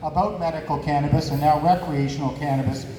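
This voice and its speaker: Amid noticeable background noise and audible room echo, a man speaks loudly at a moderate pace. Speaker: cannabis advocate and martial arts instructor. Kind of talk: event talk.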